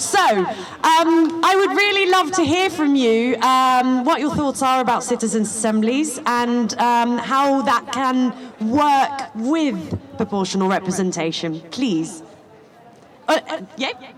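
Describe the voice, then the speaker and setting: With very wide pitch swings, a woman speaks high and very slowly over noticeable background noise. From Netherlands. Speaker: activist, audience member. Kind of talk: audience question at panel discussion.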